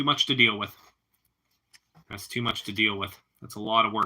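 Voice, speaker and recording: A man with an American accent, medium pitch, and a moderate pace. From Pittsburgh, Pennsylvania. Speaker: live streamer. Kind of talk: casual chat.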